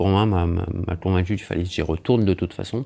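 A man's very deep, low voice with a dark, mellow tone and ordinary pitch variation. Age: 40s. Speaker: ayurvedic massage practitioner. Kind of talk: casual interview. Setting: host's living room. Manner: halting.

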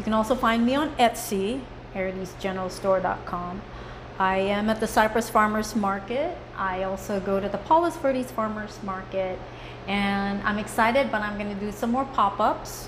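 A woman at a medium pitch and moderate pace, with noticeable background noise. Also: ordinary pitch variation. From Philippines. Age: 40s. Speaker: soap maker and artist. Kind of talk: casual chat.

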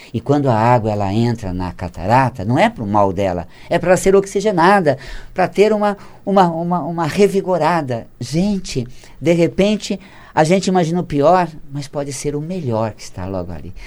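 A man's pitch swings very widely. His loudness also swings a great deal. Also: fairly high pitch for a man, moderate pace. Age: 50s. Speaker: author on metaphysics of health. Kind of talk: casual interview. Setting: studio. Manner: laughs often.

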